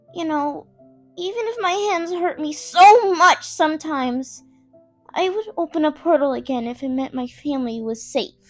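A put-on character voice moves at a moderate pace over faint music in the background. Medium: dub. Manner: worried, earnest.

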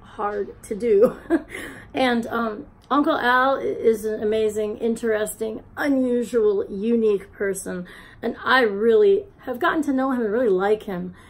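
The pitch variation is ordinary. The pace is moderate. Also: woman. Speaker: vlogger. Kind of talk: casual vlog chat. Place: home room. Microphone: phone near.

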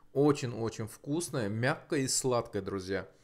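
This man speaks at a fairly slow pace. His intonation is lively. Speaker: mukbang vlogger. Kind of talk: casual vlog chat. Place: home room. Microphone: lapel.

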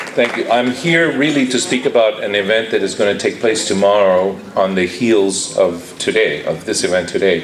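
Hardly any pauses interrupt the talking. It runs at a moderate pace over noticeable background noise. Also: man. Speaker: architect and professor. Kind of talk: conference speech. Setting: conference hall with live audience.

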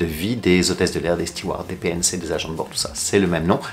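Light background noise sits under a man who talks at a very fast pace. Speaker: flight attendant travel vlogger. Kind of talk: casual vlog chat. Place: home room.

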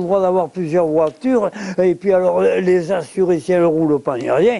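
A high-pitched male voice at a moderate pace, with ordinary pitch variation and noticeable background noise. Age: 80s+. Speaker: retiree at the market. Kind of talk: casual chat.

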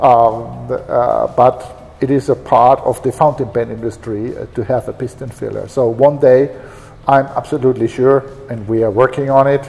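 This man speaks at a moderate pace with a German accent and a monotone, flat intonation. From Germany. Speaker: pen company executive. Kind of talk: interview. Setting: company office and shop. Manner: halting. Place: office. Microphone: lapel.

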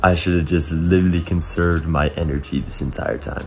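Light noise sits in the background. A man speaks with a very deep, low pitch. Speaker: vlogger doing an endurance challenge. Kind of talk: casual vlog chat. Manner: exhausted, drowsy sleep-deprived talk. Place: home room. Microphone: phone near.

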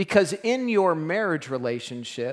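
A man's lively intonation at a fairly slow pace, over a quiet background. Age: 50s. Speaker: pastor. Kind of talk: sermon. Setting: church. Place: church.

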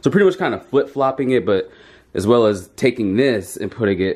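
Lively in intonation, a man speaks at a moderate pace. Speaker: vlogger. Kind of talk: casual vlog chat. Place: home room. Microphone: phone near.

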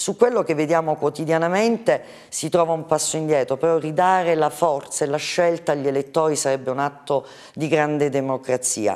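Ordinary pitch variation marks this fairly quick delivery over a quiet background. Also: woman, very deep, low pitch for a woman. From Calabria, Italy. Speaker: politician. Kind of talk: TV interview. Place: studio.

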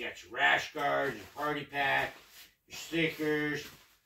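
A man talks at a very slow pace. Room echo can be heard, along with light background noise. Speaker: travel vlogger. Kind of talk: casual vlog chat. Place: home room. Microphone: camera far.

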